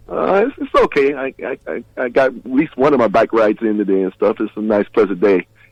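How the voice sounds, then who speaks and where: At a fairly quick pace and with hardly any pauses, a man talks in an ordinary speaking voice at medium pitch with ordinary pitch variation. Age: 60s. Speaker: drummer and guitarist. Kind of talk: casual interview chat.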